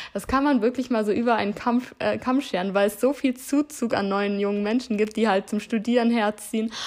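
A woman's animated, fairly high voice with ordinary pitch variation. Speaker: podcast host and influencer. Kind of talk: solo advice monologue.

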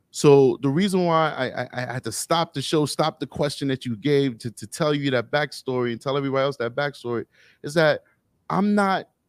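A man with a New York accent talks at a fairly high pitch with ordinary pitch variation. The recording is very clean, with a silent background and a dry, close sound with no echo. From New York City, Harlem. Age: 30s. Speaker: police officer. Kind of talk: casual interview chat.

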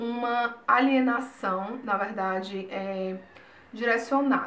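A woman speaks with ordinary pitch variation, and room echo can be heard. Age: 20s. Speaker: YouTuber. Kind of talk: personal vlog talk.

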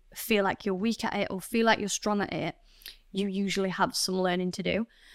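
Woman with a Yorkshire accent, medium pitch, fairly quick pace and monotone, flat intonation, on a very clean recording with a silent background. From northern England, Doncaster. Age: 20s. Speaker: leadership coach. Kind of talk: interview.

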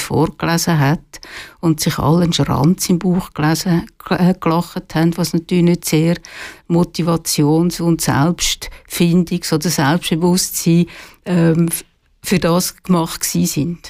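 With vocal fry and a dark, mellow tone, a woman talks at a fairly slow pace and very even loudness in a fairly low pitch. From Switzerland, Zurich lake area. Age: 60s. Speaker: retired journalist and author. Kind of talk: radio interview. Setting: studio.

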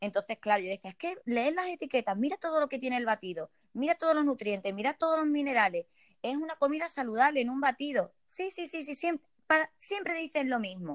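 A woman's high voice, dry and close with no echo, moving at a fairly quick pace with very wide pitch swings over background music. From Spain, Ceuta. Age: 30s. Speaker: network marketing entrepreneur. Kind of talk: interview.

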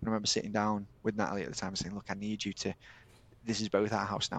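A man talks in a fairly low pitch with a Yorkshire accent. The sound is dry and close, with no echo. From Yorkshire, England (Eckington village). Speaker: telecoms business owner. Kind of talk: casual chat. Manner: talkative.

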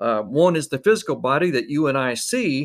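A man's intonation is lively as he talks at a moderate tempo. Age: 60s. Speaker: podcast host. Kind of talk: inspirational monologue. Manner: halting.

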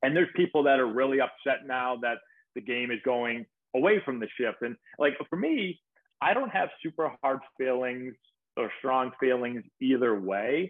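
A man with an American accent speaks in a normal speaking voice at a moderate pace, with a medium pitch and ordinary pitch variation. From Massachusetts, Peabody (Boston area). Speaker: former pro baseball player, baseball coach and youtuber. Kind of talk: interview.

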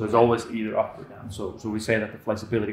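A man speaks with an Icelandic accent at a fairly quick pace. Audible room echo surrounds his voice. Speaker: handstand coach. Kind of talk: casual interview. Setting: gym.

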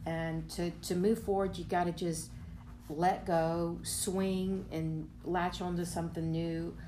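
A woman talks very slowly, and her voice carries audible room echo. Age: 50s. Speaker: resort guest. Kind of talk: interview.

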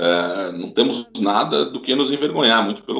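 Fairly slow and lively in intonation, a man speaks at a medium pitch. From São Paulo, Brazil. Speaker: history professor. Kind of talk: interview. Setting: video call.

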